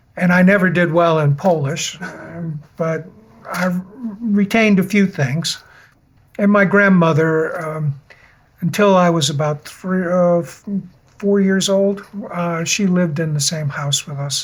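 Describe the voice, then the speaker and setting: Fairly slow, fairly even speech with an American accent, long, frequent pauses, and noticeable background noise. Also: man, high pitch for a man. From Western Massachusetts. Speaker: interviewee telling life story. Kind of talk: life story interview. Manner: halting, many fillers.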